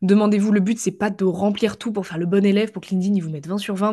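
A woman speaks at a very fast pace in a medium pitch, somewhat breathy, with a dark, mellow tone. Her intonation is monotone and flat against a quiet background. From western France, Vendée. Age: 20s. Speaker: LinkedIn marketing coach. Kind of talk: casual interview chat.

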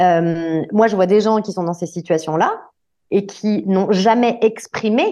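A woman talks at a fairly slow pace in a dark, mellow tone. The background is quiet. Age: 40s. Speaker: entrepreneur, workplace wellbeing consultant. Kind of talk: interview conversation.

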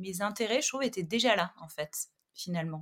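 A woman of medium pitch in a very clean recording against a silent background. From southern France, Montpellier. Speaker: art director and magazine founder. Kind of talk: interview conversation. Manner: hesitant, many fillers.

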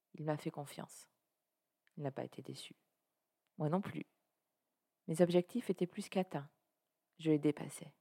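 A woman's very deep, low voice of dark, mellow tone, with ordinary pitch variation, a moderate pace and long, frequent pauses. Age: 50s. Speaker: podcaster. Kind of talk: personal storytelling monologue.

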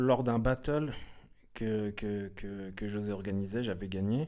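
Very slowly, a man speaks in a dark, mellow tone. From Switzerland, Lausanne (arrived from Eritrea in 1985). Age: 30s. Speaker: hip-hop dancer. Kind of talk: casual interview. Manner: halting, many fillers and repetitions.

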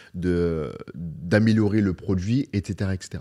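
This man's voice has a dark, mellow tone and a fairly low pitch. The recording is very clean, with a silent background. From northern France (Beauvais). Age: 30s. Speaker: e-commerce entrepreneur. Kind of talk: casual interview. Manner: halting, many repetitions.

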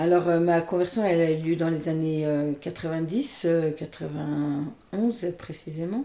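Speaking at a very slow pace with hardly any pauses, a woman has a dark, mellow tone, a fairly low pitch and ordinary pitch variation. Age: 50s. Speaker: nurse and energy healer. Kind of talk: interview conversation. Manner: hesitant, many fillers.

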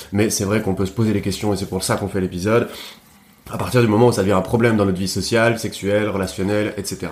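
Very fast and monotone, a man rattles on with flat intonation in a fairly low pitch. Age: 30s. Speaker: podcast host. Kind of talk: casual chat. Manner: halting.

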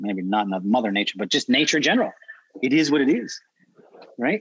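A man's voice with vocal fry and very wide pitch swings comes through in a dry, close sound with no echo. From Prince Edward Island, Canada. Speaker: dog trainer. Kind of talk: casual chat.

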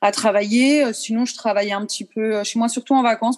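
In a fairly high voice, a woman speaks with monotone, flat intonation. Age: 30s. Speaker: ballet teacher. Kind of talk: interview.

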